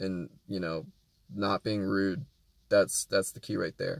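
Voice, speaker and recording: A plain, everyday voice speaks at a fairly slow pace in a very clean recording with a silent background and a dry, close sound with no echo. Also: man. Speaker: rideshare driver and vlogger. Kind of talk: casual vlog talk. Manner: calm, quiet.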